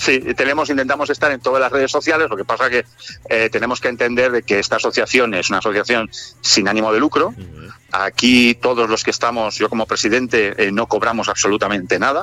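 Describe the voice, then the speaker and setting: Over music in the background, a man speaks at a very fast pace with a medium pitch and ordinary pitch variation. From Spain, Barcelona. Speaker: DJ and music producer. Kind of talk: interview. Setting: remote line.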